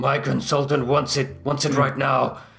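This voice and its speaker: A man's put-on character voice, raspy, gruff and growling, medium in pitch, at a fairly slow pace, with audible echo. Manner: urgent, demanding.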